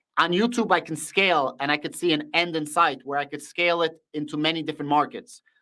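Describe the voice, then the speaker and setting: A man with a Russian accent speaks very fast, his fairly high voice bright and sharp in tone. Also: ordinary pitch variation. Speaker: finance YouTuber. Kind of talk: live stream Q&A. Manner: animated.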